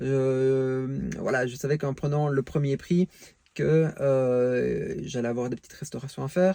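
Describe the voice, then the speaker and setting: At a fairly slow pace, a man speaks with a dark, mellow tone, a medium pitch, and fairly even intonation. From Belgium. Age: 40s. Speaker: car enthusiast vlogger. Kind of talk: casual vlog monologue. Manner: hesitant, many fillers.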